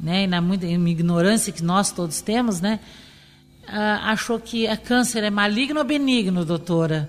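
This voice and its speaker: A woman's medium-pitched voice with lively intonation and a fairly slow pace, plus noticeable background noise. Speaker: cancer survivor. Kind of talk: testimony.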